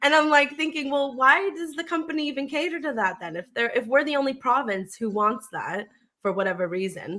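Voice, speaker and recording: In a Canadian accent, a woman speaks at a high pitch and fairly quick pace, her pitch swinging very widely. Her voice is raised and projected, with a bright, sharp tone. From Canada, Ontario. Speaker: podcast co-host. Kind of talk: casual chat.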